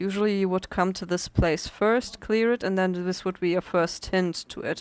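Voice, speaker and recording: The speaker talks at a moderate pace in a non-native accent. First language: not English. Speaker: gaming video creator. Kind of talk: let's play commentary. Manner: hesitant, many fillers.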